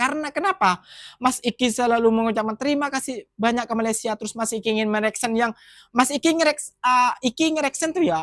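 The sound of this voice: A man's extremely high-pitched, fairly bright voice at a fairly quick pace, with ordinary pitch variation and a dry, close sound with no echo on a very clean recording with a silent background.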